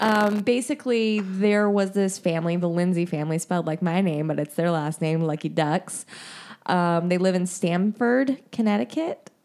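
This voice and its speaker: A woman with an American accent speaks in an unremarkable speaking voice at a medium pitch and moderate pace. Her loudness stays very even, her pitch varies in an ordinary way, and the recording is very clean, with a silent background. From Indiana. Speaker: podcast co-host. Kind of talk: casual chat.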